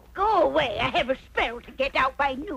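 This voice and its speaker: A cartoonish, female-sounding character voice, high-pitched, at a moderate pace, with light background noise. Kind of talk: cartoon comedy voice acting.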